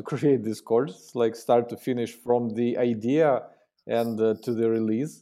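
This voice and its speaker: In a very clean recording with a silent background, a man speaks at a fairly slow pace with a dark, mellow tone and medium pitch. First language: not English. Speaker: marketing executive. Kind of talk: interview. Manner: halting.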